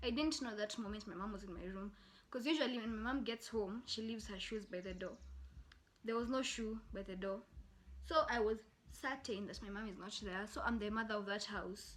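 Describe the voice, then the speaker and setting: Talking at a fairly quick pace, a woman with a fairly high pitch sounds somewhat breathy. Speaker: YouTuber. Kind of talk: storytelling. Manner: animated.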